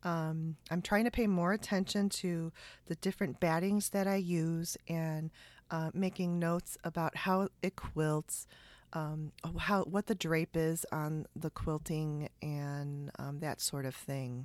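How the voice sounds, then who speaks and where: A woman's fairly low voice at a very slow pace with fairly even intonation, in a very clean recording with a silent background and a dry, close sound with no echo. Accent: Chicago. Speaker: podcast host, sewing and quilting maker. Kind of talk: casual podcast chat and interview. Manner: chatty, laughs often.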